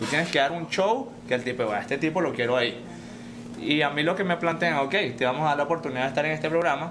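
A very fast-talking man with a Venezuelan accent, audible room echo and noticeable background noise. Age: 30s. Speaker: mixed martial arts fighter. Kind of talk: casual chat.

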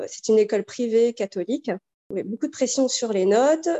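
Pitched fairly high, a woman speaks with ordinary pitch variation. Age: 40s. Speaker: mother giving testimony. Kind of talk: testimony. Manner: halting, many repetitions and fillers.

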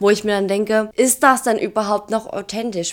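A woman with ordinary pitch variation and a plain, everyday voice. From Saxony, Germany (Dresden). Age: 20s. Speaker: social media influencer and geriatric nurse. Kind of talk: casual chat.

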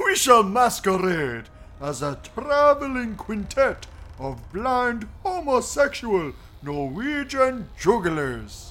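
A man puts on a character voice pitched extremely high. He speaks very slowly over light background noise. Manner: pompous, absurdly serious.

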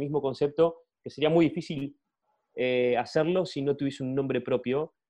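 A man talks in a plain, everyday voice. His pitch is fairly high and his pace fairly quick. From Argentina. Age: 30s. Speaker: product manager. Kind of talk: interview conversation.

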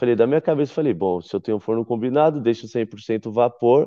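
Using a plain, everyday voice, a man speaks at a moderate pace with a medium pitch and lively intonation. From Brazil, São Paulo. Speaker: chef. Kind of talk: interview. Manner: casual.

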